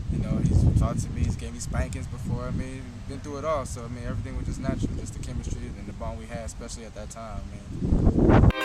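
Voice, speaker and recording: Noticeable background noise and audible room echo surround a man who talks at a very fast pace with hardly any pauses and big swings in loudness. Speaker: actor in short film. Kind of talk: interview.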